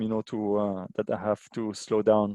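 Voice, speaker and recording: This man speaks at a moderate pace. He has a non-native accent. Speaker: aid organisation water and sanitation specialist. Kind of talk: webinar presentation. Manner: halting, many fillers.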